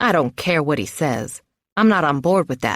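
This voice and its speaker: A put-on character voice growls at middle pitch. The pace is moderate. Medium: read story. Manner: good-natured, teasing.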